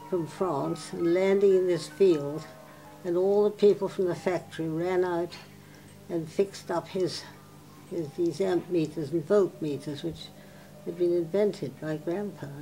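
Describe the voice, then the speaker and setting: A woman's fairly low voice at a fairly slow pace, with fairly even intonation and music in the background. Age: 80s+. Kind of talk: oral history interview answer.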